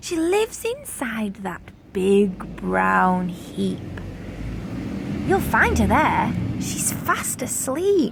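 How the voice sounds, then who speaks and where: A woman uses a put-on character voice at a very slow pace. Her speech has long, frequent pauses over clear background noise. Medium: read story.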